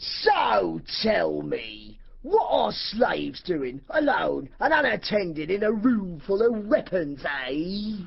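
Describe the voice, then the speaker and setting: A put-on character voice at middle pitch and a very slow pace, with light background noise. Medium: audio drama. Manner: menacing.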